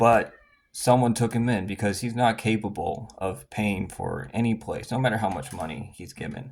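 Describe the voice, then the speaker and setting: A man's medium-pitched voice with vocal fry, ordinary pitch variation and a moderate pace. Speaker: former subscriber turned critic. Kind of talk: casual monologue. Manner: halting.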